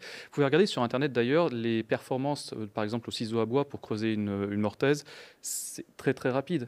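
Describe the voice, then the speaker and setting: Moderately paced male speech, its pitch rising and falling in an ordinary way. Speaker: project team member asking questions. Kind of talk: Q&A discussion. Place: hall.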